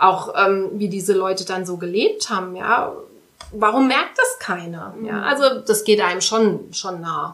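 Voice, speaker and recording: Heard with audible room echo, a woman at medium pitch talks at a fairly slow pace with ordinary pitch variation. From Saarland, Saarbrücken. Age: 30s. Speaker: volunteer firefighter. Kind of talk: interview.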